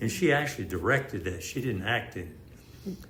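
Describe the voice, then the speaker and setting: A man with an American accent, very wide pitch swings, and audible room echo. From Houston area, Texas. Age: 80s+. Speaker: retired police officer. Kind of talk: interview.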